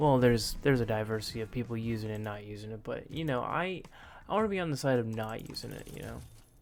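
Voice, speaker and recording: A man's medium-pitched voice at a very fast pace, ordinary pitch variation, big swings in loudness, and audible room echo. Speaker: gaming YouTuber. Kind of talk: let's play commentary. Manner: animated.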